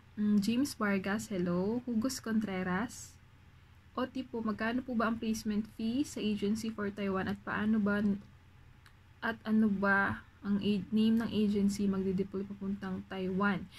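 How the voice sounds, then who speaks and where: Soft-spoken and somewhat breathy, a woman talks at a medium pitch with monotone, flat intonation. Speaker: vlogger, overseas factory worker. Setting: dorm room at night.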